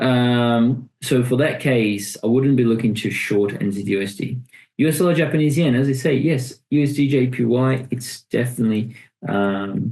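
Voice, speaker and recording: Moderate pace and ordinary pitch variation, with a non-native accent. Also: man, medium pitch for a man. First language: not English. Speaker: forex trading educator. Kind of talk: live trading webinar. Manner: halting, many fillers and repetitions.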